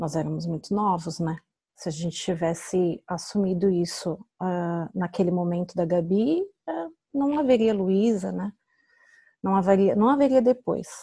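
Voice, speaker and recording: Speaking fairly slowly, a woman with a somewhat breathy, dark, mellow tone holds a medium pitch with ordinary variation, captured in a very clean recording with a silent background. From Brazil. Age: 30s. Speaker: mother sharing her story. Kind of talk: interview, personal testimony.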